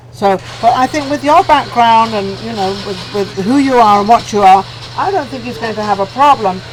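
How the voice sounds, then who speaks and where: Noticeable background noise fills the clip. Over it, a woman speaks in a fairly high pitch with lively intonation. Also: moderate pace. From England. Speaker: talk show host. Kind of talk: casual interview chat. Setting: lounge, on-location interview.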